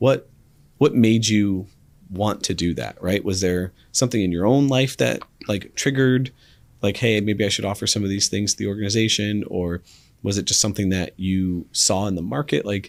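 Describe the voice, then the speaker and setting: With a plain, everyday voice, a man talks at a moderate pace and a fairly low pitch, his pitch varying in an ordinary way. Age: 30s. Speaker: podcast host. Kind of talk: interview conversation.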